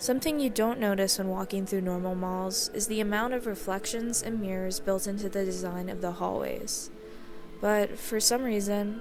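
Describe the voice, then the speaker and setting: Over music in the background, a woman speaks at a moderate pace and medium pitch with fairly even intonation, with audible room echo. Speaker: video essayist. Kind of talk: scripted narration.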